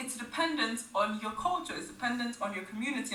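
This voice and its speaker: A woman's fairly high voice with lively intonation, amid audible room echo and noticeable background noise. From Nigeria. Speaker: medical student, podcast guest. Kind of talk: casual interview chat.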